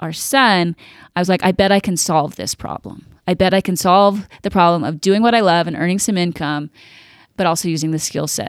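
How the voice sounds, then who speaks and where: This woman has an unremarkable speaking voice at a medium pitch, with fairly even intonation. The recording is very clean, with a silent background. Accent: American. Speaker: magazine publisher. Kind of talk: casual interview.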